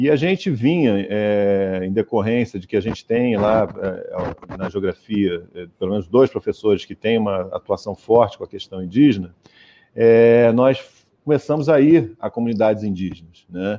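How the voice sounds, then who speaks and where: Dry and close with no echo, a man's dark, mellow voice at a fairly low pitch moves at a moderate pace with ordinary pitch variation. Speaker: professor. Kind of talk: interview.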